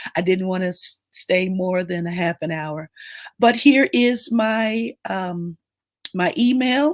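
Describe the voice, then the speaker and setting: The sound is dry and close with no echo. A woman speaks very slowly at a medium pitch with lively intonation. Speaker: grief coach. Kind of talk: live stream Q&A.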